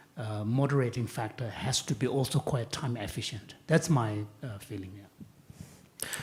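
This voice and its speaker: The delivery moves at a fairly slow pace with hardly any pauses. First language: not English. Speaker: panelist at a dialogue on AI and ethics. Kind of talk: panel discussion. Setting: stage with audience. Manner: hesitant, with fillers.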